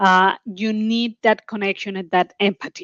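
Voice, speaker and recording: Speaking fairly slowly, a woman with a strong Colombian accent keeps a medium pitch and fairly even intonation. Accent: Colombian Spanish accent, heavy. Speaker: oil and gas executive. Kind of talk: panel discussion.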